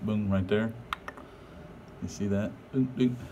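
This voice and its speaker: Light background noise sits behind the speaker. He is a man with a fairly low pitch. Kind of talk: casual vlog chat. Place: garage. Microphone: phone near.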